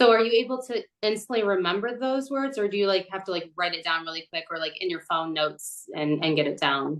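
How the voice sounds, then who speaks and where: With lively intonation and hardly any pauses, a woman of medium pitch speaks in an American accent, in a normal speaking voice. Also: fairly quick pace. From Michigan, Detroit area. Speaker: podcast interviewer and singer. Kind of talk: interview.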